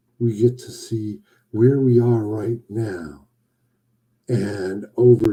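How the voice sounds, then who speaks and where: A man speaks very slowly in a fairly low, somewhat breathy voice. His tone is dark and mellow. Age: 60s. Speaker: boudoir photographer hosting a weekly live show. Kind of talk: casual livestream monologue. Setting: live broadcast on social media. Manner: playful, jokey.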